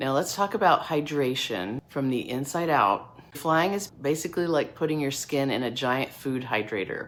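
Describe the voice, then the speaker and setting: A woman talks in a very deep, low voice with hardly any pauses. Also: lively intonation, moderate pace. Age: 60s. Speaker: dermatology physician assistant, skincare channel host. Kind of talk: educational tutorial to camera. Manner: casual, conversational.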